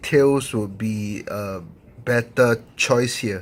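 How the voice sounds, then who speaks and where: A man's voice on a very clean recording, with a silent background. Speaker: gaming YouTuber. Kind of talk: video game review monologue. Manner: halting, many fillers and restarts.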